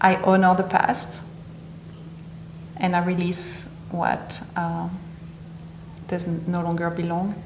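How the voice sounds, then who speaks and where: At a very slow pace with long, frequent pauses, a woman speaks in a monotone, flat way at a fairly low pitch, with noticeable background noise and audible room echo. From southern France (Nice). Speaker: interview guest, healing practitioner. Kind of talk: interview.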